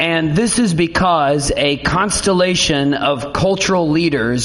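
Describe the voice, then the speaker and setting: A man speaks very slowly, with a fairly high pitch and lively intonation. Room echo is audible. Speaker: pastor. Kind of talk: sermon. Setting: church.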